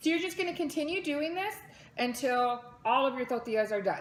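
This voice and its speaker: Her voice sits high for a woman. The intonation rises and falls in a lively way. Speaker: mother. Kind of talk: casual cooking tutorial to camera.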